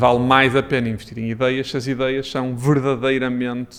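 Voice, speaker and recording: A man's medium-pitched voice with a Porto accent, flat monotone intonation and a fairly slow pace. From Porto, Portugal. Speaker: startup founder and CEO. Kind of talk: podcast interview answer.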